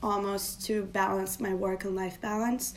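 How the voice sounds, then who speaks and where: A woman's flat, monotone delivery at a fairly slow pace, with audible room echo. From Turkey. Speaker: design strategist. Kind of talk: casual interview.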